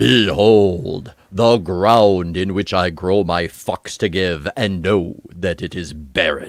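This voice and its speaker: Putting on a character voice, a man drawls very slowly in a very deep, low register. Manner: solemn, grand.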